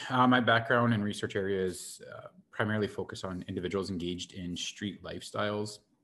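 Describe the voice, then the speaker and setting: Someone with a Canadian prairie accent talks at a fairly quick pace in a bright, sharp tone with big swings in loudness. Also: man. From Saskatchewan, Prince Albert (Métis). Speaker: professor. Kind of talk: panel introduction. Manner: hesitant, many fillers.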